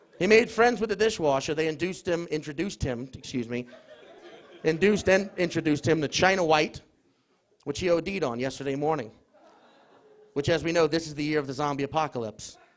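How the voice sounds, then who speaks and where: A man with fairly high pitch at a fairly quick pace, broken by long, frequent pauses, with crowd noise in the background. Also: ordinary pitch variation. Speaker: comedian. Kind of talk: comedic stage debate. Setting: stage with audience in a pub.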